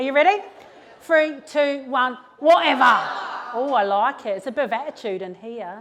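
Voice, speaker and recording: A woman's high, animated voice in a New Zealand accent, with big swings in loudness, long and frequent pauses, noticeable background noise and audible room echo. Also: lively intonation. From New Zealand, West Auckland. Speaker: mental health speaker. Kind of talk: motivational talk. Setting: stage with audience. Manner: fast.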